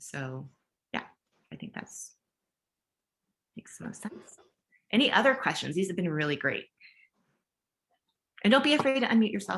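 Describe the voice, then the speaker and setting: Using vocal fry and long, frequent pauses, a woman at medium pitch speaks with very wide pitch swings and big swings in loudness. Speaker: education leadership consultant. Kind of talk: webinar Q&A. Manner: fast.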